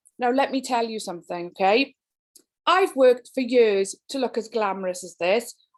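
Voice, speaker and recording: A woman with a Welsh accent speaks at a moderate pace in a fairly high pitch, her intonation lively and her loudness swinging widely. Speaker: education speaker. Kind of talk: keynote talk. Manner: animated.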